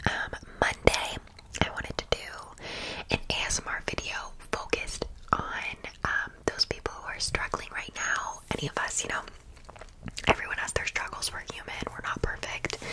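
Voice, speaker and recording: A woman whispers with long, frequent pauses and big swings in loudness. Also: moderate pace. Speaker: ASMR creator. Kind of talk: ASMR whisper ramble to camera. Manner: whispered, soft-spoken. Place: home room. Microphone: studio mic.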